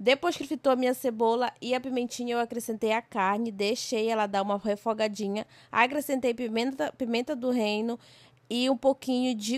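A plain, everyday voice at a moderate pace, dry and close with no echo, in a very clean recording with a silent background. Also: woman. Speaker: cooking vlogger. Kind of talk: cooking tutorial vlog narration. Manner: casual, chatty.

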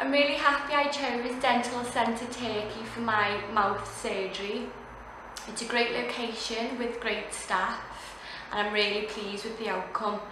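A woman speaks at a fairly slow pace with fairly even intonation. Audible room echo and noticeable background noise surround her voice. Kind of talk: testimonial. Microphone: phone near.

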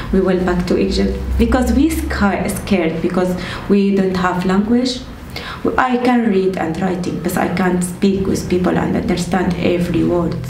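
With an Arabic accent and ordinary pitch variation, a woman speaks amid light background noise and audible room echo. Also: moderate pace. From Syria. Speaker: refugee. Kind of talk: interview. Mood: reflective, slightly emotional. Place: home room.

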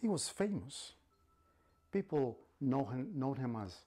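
A man with a Spanish accent, dark and mellow in tone, somewhat breathy, with lively intonation at a very slow pace. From Mexico City. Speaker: storyteller and language instructor; storyteller, language instructor. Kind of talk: bilingual storytelling. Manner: dramatic, with repetition. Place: classroom.

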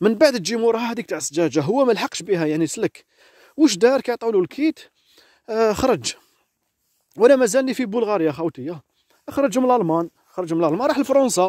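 A man with a high pitch and very wide pitch swings talks at a fairly quick pace, dry and close with no echo, in a very clean recording with a silent background. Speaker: vlogger. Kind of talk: storytelling vlog. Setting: outdoors in a forest.

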